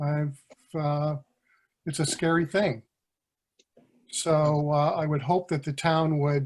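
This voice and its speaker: A man's fairly high, somewhat breathy voice, monotone and flat, at a very slow pace with long, frequent pauses. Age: 60s. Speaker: town resident. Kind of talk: public comment at town meeting. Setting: remote electronic meeting.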